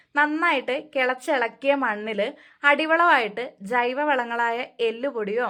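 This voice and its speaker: The recording is very clean, with a silent background. A woman speaks at a high pitch with ordinary pitch variation. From Kerala, Wayanad. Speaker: home gardening vlogger. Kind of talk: tutorial. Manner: casual.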